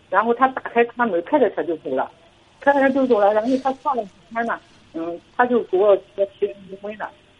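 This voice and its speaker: The woman's pitch is fairly high. She talks at a fairly quick pace against noticeable background noise. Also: lively intonation. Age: 40s. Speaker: caller. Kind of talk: call-in advice chat. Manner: halting.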